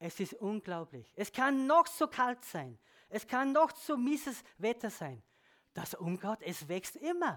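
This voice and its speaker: The speech is very slow, on a very clean recording with a silent background. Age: old. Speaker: lay preacher. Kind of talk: sermon.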